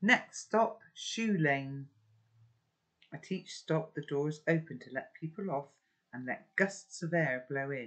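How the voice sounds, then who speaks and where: Against a quiet background, a warm tone moves at a very slow pace. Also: woman. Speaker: audiobook reader. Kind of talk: reading aloud a novel with chatty commentary. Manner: warm, conversational. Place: home room. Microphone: webcam.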